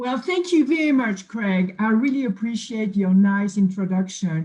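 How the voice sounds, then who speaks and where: A woman with a French accent speaks at a fairly high pitch, somewhat breathy and dark, mellow in tone. Her intonation is lively. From France, Bordeaux. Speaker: nutrition scientist. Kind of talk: self-introduction on a company video.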